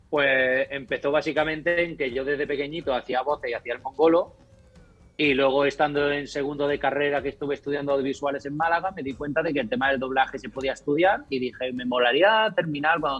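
Words pour out very fast from a man with a fairly high pitch and fairly even intonation. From rural Córdoba, Andalusia. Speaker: YouTuber and video editor. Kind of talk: casual chat.

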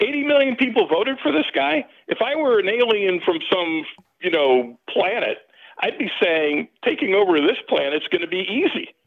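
A man's high-pitched voice with very wide pitch swings, at a moderate pace. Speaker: caller. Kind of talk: call-in talk radio discussion. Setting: phone call.

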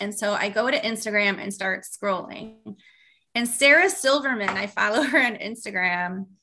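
Fairly high in pitch, a woman with an unremarkable speaking voice talks at a moderate pace with ordinary pitch variation. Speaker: author and marketing entrepreneur. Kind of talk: interview conversation.

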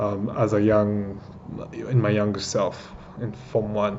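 A man with a Kenyan accent speaks in a fairly low pitch. Noticeable background noise runs beneath him. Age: 20s. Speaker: entrepreneur sharing his story. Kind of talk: personal story told as monologue.

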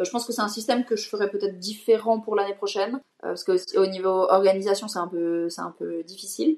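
A woman with a plain, everyday voice speaks at a fairly quick pace, her medium pitch carried in fairly even intonation. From Switzerland. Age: 20s. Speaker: event entrepreneur and content creator. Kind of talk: interview.

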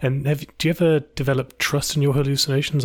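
A very clean recording with a silent background and a somewhat breathy voice. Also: man. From UK. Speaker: podcast host interviewing YouTubers. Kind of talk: casual chat interview.

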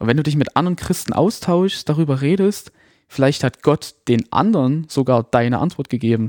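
A man speaks at a moderate pace in an ordinary speaking voice, fairly high-pitched with lively intonation, recorded very cleanly against a silent background with a dry, close sound and no echo. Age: 20s. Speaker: social media content creator. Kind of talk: casual chat.

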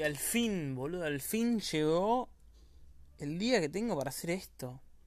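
With lively intonation, a man speaks at a high pitch and a fairly slow pace. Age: young (19-20). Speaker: podcaster. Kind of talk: casual monologue.

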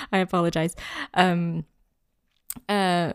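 A woman speaks with a non-native accent at a fairly low pitch, recorded very cleanly against a silent background. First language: not English. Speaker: podcast co-host, designer. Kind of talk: casual chat. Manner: hesitant, many fillers.

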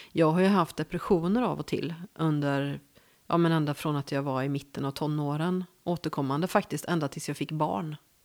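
Speaking with a West Swedish accent at a moderate pace, a woman uses a very deep, low pitch and ordinary pitch variation on a very clean recording with a silent background. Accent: West Coast Swedish. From Gothenburg, western Sweden. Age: 50s. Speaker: journalist. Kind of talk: casual interview.

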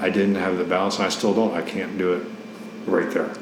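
Over noticeable background noise, a man with an American accent talks at a fairly low pitch with ordinary pitch variation. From Ohio, US Midwest. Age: 40s. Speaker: Navy veteran and adult ballet student. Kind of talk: interview, personal story.

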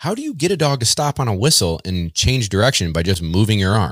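The recording is very clean, its background silent. A man is speaking with an American accent. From central New York. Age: 30s. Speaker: professional dog trainer and kennel owner. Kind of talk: casual interview.

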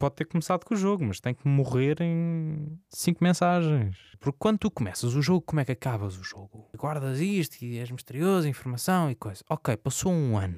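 A man speaks with a fairly high pitch and very wide pitch swings, his tone dark and mellow, with hardly any pauses. The sound is dry and close with no echo, a very clean recording over a silent background. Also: moderate pace. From Azores, Portugal. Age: 20s. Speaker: journalist. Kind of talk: casual interview.

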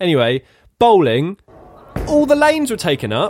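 This speaker is a man with an English accent. He keeps a moderate tempo. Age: 30s. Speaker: podcast co-host. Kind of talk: casual chat.

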